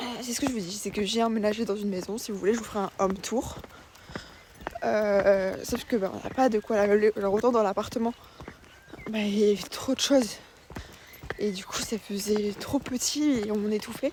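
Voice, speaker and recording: Soft-spoken and fairly high in pitch, a woman talks at a moderate pace with fairly even intonation and long, frequent pauses over noticeable background noise. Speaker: vlogger. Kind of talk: casual vlog talk. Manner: hesitant, many fillers.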